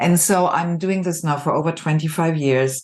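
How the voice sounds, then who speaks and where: A woman with a German accent uses lively intonation and a fairly low pitch. The background is quiet. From Germany (Düsseldorf). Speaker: executive coach and artist. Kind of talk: podcast interview.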